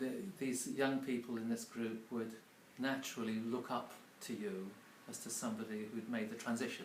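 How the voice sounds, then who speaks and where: Audible room echo accompanies a man with an English accent who keeps a moderate pace and fairly even intonation. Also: medium pitch for a man. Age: 60s. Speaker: publisher and mentor. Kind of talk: casual interview. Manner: halting, many fillers.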